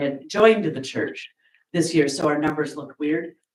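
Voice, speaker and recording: In a room with audible echo, a woman speaks with pitch that rises and falls in an ordinary way. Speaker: church member giving announcements. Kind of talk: church announcements. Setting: church service.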